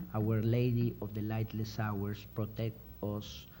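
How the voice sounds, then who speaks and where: With a Mexican accent, a somewhat breathy man speaks at a medium pitch in a dark, mellow tone, with audible room echo. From Mexico. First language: Spanish. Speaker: crime novelist. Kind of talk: reading aloud. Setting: stage with audience.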